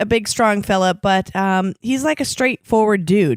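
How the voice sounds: Ordinary pitch variation marks the natural reading voice heard here.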